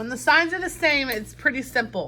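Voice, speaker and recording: A woman talks at a fairly quick pace. Her tone is bright and sharp, with lively intonation. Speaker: math teacher. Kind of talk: classroom math lesson.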